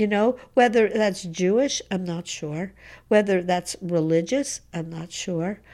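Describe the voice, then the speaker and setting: In a Montreal accent, a woman speaks at a fairly slow pace with a dark, mellow tone. Her pitch varies ordinarily, and the recording is very clean with a silent background. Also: medium pitch for a woman. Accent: Montreal English (Canadian). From Montreal, Quebec. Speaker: activist. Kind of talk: interview. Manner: halting.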